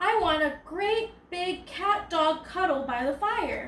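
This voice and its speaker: Using a put-on character voice, a woman speaks in an extremely high pitch at a fairly slow pace. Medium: read story. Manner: howling, plaintive.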